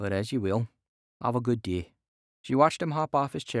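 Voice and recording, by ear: Against a quiet background, the reading aloud is natural in voice and lively in intonation.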